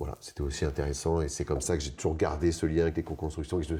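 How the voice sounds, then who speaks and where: The delivery is somewhat breathy and very fast, with monotone, flat intonation. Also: man. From Paris region, France. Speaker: eco-building mason. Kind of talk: interview. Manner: halting, many hesitations.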